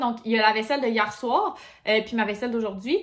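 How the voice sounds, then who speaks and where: A woman speaks at a fairly quick pace. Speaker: lifestyle vlogger. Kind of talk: casual vlog talk to camera. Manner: fast; casual, filler-heavy.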